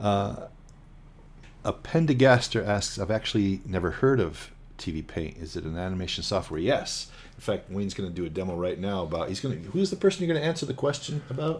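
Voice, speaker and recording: A man speaks at a fairly low pitch. His pitch swings very widely. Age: 60s. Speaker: animator. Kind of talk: casual chat.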